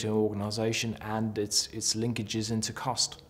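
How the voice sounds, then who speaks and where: Here a man talks at a moderate pace in a fairly low voice. His intonation is monotone and flat. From South Africa. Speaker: company manager. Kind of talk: employee testimonial. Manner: hesitant, with fillers. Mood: calm, positive. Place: office.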